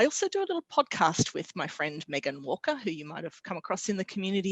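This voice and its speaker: With an Australian accent, the speaker talks at a very fast pace with very wide pitch swings. The background is quiet and the sound is dry, with no echo. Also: woman. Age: middle-aged. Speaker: technology evangelist. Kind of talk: casual chat. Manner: animated. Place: home room. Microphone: headset.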